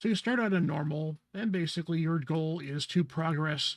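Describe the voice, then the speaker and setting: The voice is somewhat breathy and belongs to a man. His pitch varies in an ordinary way. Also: very clean recording, silent background. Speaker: gaming content creator. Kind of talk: gameplay tutorial. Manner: hesitant with fillers.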